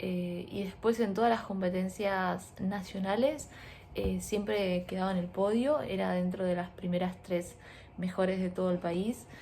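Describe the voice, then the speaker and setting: Soft-spoken and somewhat breathy, a woman talks at a fairly slow pace and medium pitch with ordinary pitch variation. Her tone is dark and mellow. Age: 20s. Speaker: lifestyle vlogger. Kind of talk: casual vlog storytelling. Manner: quiet, speaking softly.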